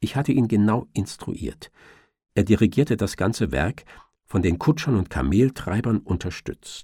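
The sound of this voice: A man speaks fairly slowly with a dark, mellow, fairly low voice, a slightly husky edge and lively intonation. The recording is very clean with a silent background.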